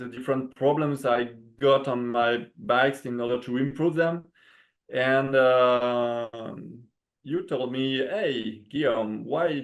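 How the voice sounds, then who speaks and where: Against a quiet background, a man with a French accent speaks at a very slow pace, at a medium pitch, with fairly even intonation. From France. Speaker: bamboo bike frame builder. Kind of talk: interview. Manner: halting, many fillers.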